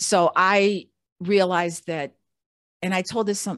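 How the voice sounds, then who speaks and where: A woman with a fairly low pitch and ordinary pitch variation has a plain, everyday voice on a very clean recording with a silent background. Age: 60s. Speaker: Air Force veteran and podcaster. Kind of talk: casual interview chat.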